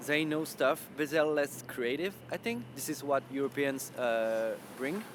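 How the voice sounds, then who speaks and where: With a French accent, a man speaks at a fairly slow pace. His pitch is fairly high, with ordinary variation. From France. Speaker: web developer. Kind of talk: interview.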